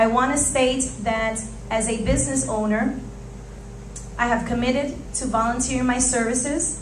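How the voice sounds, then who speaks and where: A woman with a fairly high voice speaks at a moderate pace in monotone, flat intonation, with audible room echo and light background noise. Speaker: city council candidate, business owner; council candidate. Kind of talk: candidate opening statement. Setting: church hall with audience. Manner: formal. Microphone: podium.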